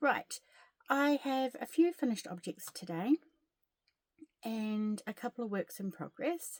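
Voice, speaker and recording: A woman with a New Zealand accent speaks at a fairly slow pace in a high voice, her pitch swinging very widely. Long, frequent pauses break her speech, and the sound is dry and close with no echo. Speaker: crochet vlogger. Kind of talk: casual chat. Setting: at home. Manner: soft-spoken.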